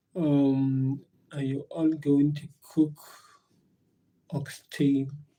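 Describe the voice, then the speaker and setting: A man speaks at a very slow pace in a South African accent, his pitch fairly high. His tone is dark and mellow, and his intonation stays monotone and flat. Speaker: live streamer. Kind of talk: casual live stream chat. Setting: live stream at work. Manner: halting, many fillers and repetitions.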